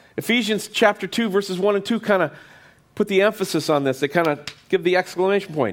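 Very fast and at a high pitch for a man, his speech holds a very even loudness throughout. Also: ordinary pitch variation. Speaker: pastor. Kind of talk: sermon. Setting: church with congregation.

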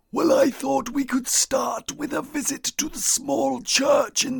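A man uses a put-on character voice. It is raspy and pitched extremely high. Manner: sinister, silky.

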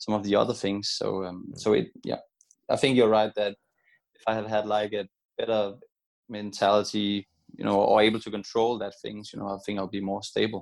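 At a fairly quick pace, a man with a Danish accent talks in a fairly low pitch. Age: 30s. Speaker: retired badminton player. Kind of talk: interview.

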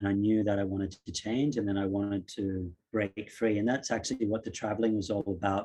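Over a quiet background, a man with a fairly low pitch and a dark, mellow tone talks at a fairly quick pace with hardly any pauses, very even loudness and fairly even intonation. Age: 40s. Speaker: yoga teacher. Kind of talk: casual chat.

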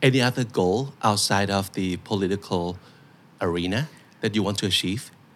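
A fairly low-pitched man, moderately paced, with ordinary pitch variation. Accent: Thai. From Thailand. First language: Thai. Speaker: podcast host. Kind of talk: interview.

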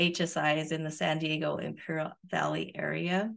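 Over a quiet background, a woman talks with a New Mexico accent. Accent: New Mexican American. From rural northern New Mexico. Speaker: professor and research director. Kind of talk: interview.

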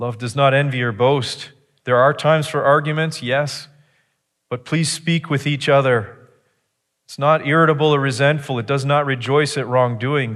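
A man talks at a moderate pace in a plain, everyday voice, fairly high-pitched and fairly even in intonation, on a very clean recording with a silent background. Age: 40s. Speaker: pastor. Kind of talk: sermon. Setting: church.

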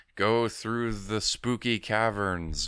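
The voice belongs to a man, pitched medium. He is doing a put-on character voice. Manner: eerie.

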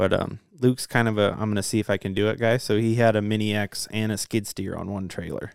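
A man's fairly low, animated voice at a very fast pace with hardly any pauses, in a dry, close sound with no echo. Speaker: podcast host. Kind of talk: casual chat. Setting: studio. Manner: joking, animated.

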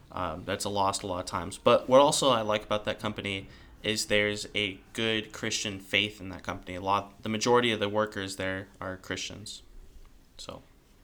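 An unremarkable speaking voice with an American accent at a fairly quick pace. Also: man, fairly low pitch for a man, fairly even intonation. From California. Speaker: guest, cousin. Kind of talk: casual chat.

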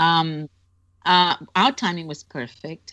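With a Brazilian accent and a fairly low pitch, a woman speaks against a quiet background. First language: Portuguese. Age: 60s. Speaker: author and longtime Beatles fan. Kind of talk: casual interview. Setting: remote call.

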